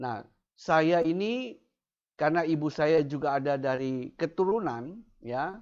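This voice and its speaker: A man at a fairly high pitch, fairly slow in pace, with lively intonation. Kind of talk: testimony. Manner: halting, with fillers.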